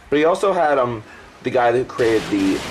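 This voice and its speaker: A man talks at a very fast pace while noticeable background noise carries on. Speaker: gaming YouTuber. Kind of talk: game commentary over gameplay. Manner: stuttering; casual, rambling with fillers.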